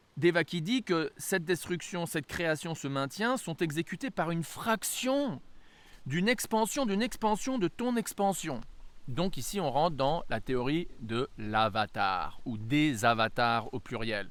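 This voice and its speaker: Against a very clean recording with a silent background, a man talks at a very slow pace with very wide pitch swings. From France-US bicultural. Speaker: religious teacher. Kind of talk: lecture. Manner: halting, many hesitations.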